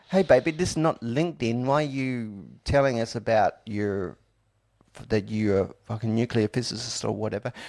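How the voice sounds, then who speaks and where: Mumbling at a moderate pace, a man speaks at medium pitch. The recording is very clean, with a silent background. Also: ordinary pitch variation. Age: 40s. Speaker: podcast host. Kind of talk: casual chat.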